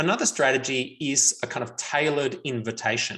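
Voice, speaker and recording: A bright, sharp voice with ordinary pitch variation and an Australian accent. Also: man. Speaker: researcher on men and violence prevention. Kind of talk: webinar Q&A answers.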